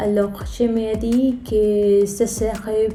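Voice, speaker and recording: The speech comes at a very slow pace with a Spanish-speaking accent. Noticeable background noise is present. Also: woman. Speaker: app and video game developer. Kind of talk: casual talk to camera.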